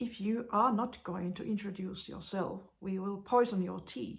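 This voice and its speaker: A woman speaks very slowly with a Finnish accent, in a medium pitch. Her voice is somewhat breathy, with ordinary pitch variation. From Finland. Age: 40s. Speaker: blind vlogger. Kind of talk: casual vlog monologue. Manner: halting, many hesitations.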